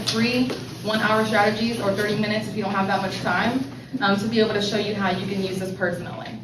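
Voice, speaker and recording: Over noticeable background noise and audible room echo, a woman talks very fast at a medium pitch with fairly even intonation. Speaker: financial services presenter. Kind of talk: sales pitch.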